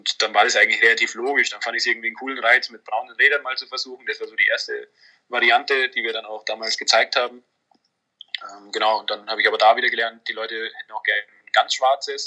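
Very fast delivery with big swings in loudness. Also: man. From Munich, Bavaria. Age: 20s. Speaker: startup founder. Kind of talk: interview.

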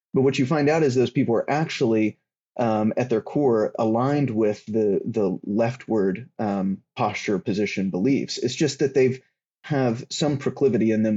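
Speaking in a normal speaking voice with an American accent, a man of medium pitch goes at a moderate pace with ordinary pitch variation. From US South. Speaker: writer on political theology. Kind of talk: casual discussion.

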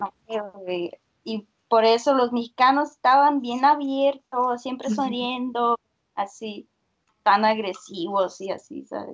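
A woman with a high voice talks very slowly, her pitch varying in an ordinary way. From Russia. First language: Russian (speaking Spanish). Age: 20s. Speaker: university student. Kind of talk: casual chat.

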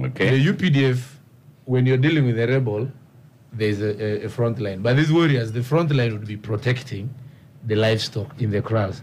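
This man talks at a medium pitch and a moderate pace. His voice is somewhat breathy, with ordinary pitch variation. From Uganda, Karamoja region (Karenga district). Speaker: member of parliament. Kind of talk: radio panel discussion. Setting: studio.

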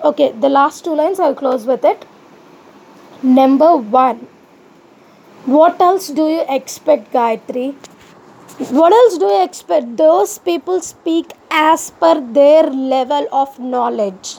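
A woman's high, lively voice at a very slow pace, with long, frequent pauses and noticeable background noise. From India. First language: an Indian language other than Hindi. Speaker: YouTube vlogger. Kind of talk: personal monologue vlog.

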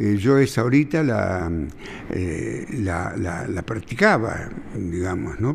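A man with very wide pitch swings, a very slow pace, and noticeable background noise. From Buenos Aires, Argentina. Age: 80s+. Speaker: billiards champion and teacher. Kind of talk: interview.

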